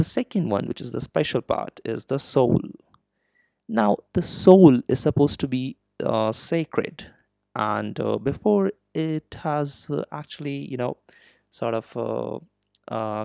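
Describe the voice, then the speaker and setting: Here a man speaks at medium pitch in a dark, mellow tone. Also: dry, close sound with no echo. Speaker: podcast host. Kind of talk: educational monologue. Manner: slow; hesitant, many fillers.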